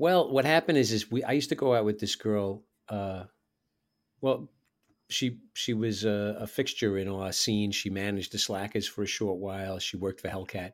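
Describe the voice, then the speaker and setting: A man with a New York accent speaks at a fairly low pitch. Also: ordinary pitch variation, moderate pace, very clean recording, silent background. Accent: New York City (borough accent). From New York City. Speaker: touring musician. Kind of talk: casual interview chat. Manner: casual, chatty.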